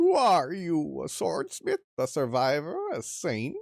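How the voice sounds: A man performs a put-on character voice that sounds raspy. He goes at a fairly slow pace.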